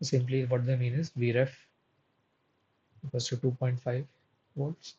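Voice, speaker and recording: This voice is somewhat breathy, with monotone, flat intonation at a moderate pace. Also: man, medium pitch for a man. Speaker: teaching assistant running a course live session. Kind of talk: live tutorial session solving problems. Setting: live online session.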